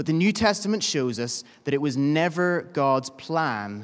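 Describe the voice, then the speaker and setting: On a very clean recording with a silent background, a man speaks in a fairly high voice with lively intonation. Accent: Northern Irish. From Northern Ireland. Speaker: preacher. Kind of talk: sermon. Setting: church. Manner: informal, humorous.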